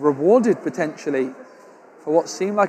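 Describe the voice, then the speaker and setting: A man speaks in an English accent with a high pitch. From England. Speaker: tournament caster. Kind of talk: live commentary. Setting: live stream at tournament. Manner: animated.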